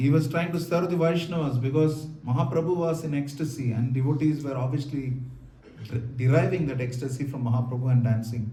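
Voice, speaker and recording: With a South Indian accent, a man talks at a fairly quick pace in a fairly high voice with fairly even intonation, and room echo is audible. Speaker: monk lecturer. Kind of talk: lecture with consecutive interpretation. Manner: fast.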